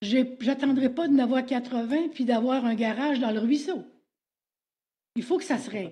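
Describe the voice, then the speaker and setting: In a Quebec accent, a woman speaks at a moderate pace with long, frequent pauses, her high voice dark and mellow in tone with ordinary pitch variation. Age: 70s. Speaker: citizen addressing council. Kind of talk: public question period.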